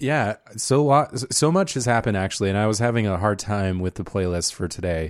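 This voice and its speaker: In a normal speaking voice, a man talks at a fairly quick pace with a fairly low pitch and lively intonation, on a very clean recording with a silent background. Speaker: podcast host. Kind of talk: casual banter between co-hosts. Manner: joking, playful.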